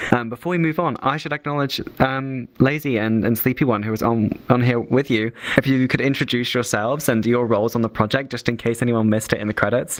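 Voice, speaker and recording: Over noticeable background noise, a man at a medium pitch talks at a very fast pace with hardly any pauses and ordinary pitch variation. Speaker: festival Q&A moderator. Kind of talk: Q&A interview. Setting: virtual screening in VR. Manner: halting, stuttering.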